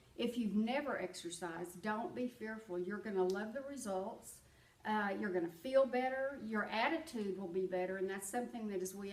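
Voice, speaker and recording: A woman of medium pitch at a moderate pace, with ordinary pitch variation and noticeable background noise. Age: 70s. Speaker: retired banker. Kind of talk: interview answer.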